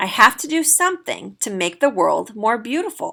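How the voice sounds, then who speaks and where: A woman's raspy, put-on character voice, high-pitched, at a moderate pace. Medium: read story.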